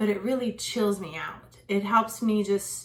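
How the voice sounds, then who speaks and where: A woman talks at a moderate pace in a medium pitch, her intonation fairly even. Her voice is somewhat breathy. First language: French. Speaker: educational consultant and parenting video host. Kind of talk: casual unscripted vlog talk. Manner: casual, filler-heavy.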